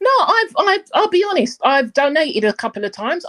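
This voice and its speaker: A woman with a South London accent, an extremely high pitch and very wide pitch swings, at a very fast pace, in a dry, close sound with no echo. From South London, England. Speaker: caller on a live stream. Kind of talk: casual chat. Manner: halting.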